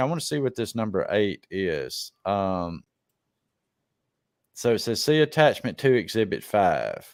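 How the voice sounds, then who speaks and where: On a very clean recording with a silent background, a man of medium pitch speaks at a fairly slow pace with very wide pitch swings. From Mississippi. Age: 40s. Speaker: live stream show host. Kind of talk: reading aloud a legal document with commentary; casual chat. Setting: live stream.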